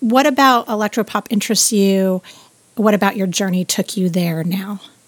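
A woman's unremarkable speaking voice with an American accent, medium pitch, ordinary pitch variation and a moderate pace, in a dry, close sound with no echo. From Southern California. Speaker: podcast host. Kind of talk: casual interview.

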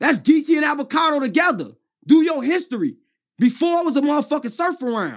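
Against a quiet background, a man speaks loud and very fast in an animated tone, his pitch extremely high with ordinary pitch variation. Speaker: battle rap commentator. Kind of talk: livestream rant. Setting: livestream.

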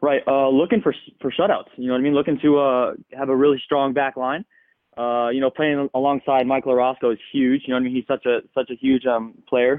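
This is an ordinary speaking voice with an American accent. It moves at a fairly quick pace with fairly even intonation. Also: man, medium pitch for a man. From Seattle area, US Pacific Northwest. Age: young. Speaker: professional soccer player. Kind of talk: interview.

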